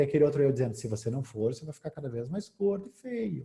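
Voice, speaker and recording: The very clean recording, with a silent background, captures a man with a dark, mellow tone and very wide pitch swings. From southern Brazil, Porto Alegre. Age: 40s. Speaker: hypnotherapist and speaker. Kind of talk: lecture.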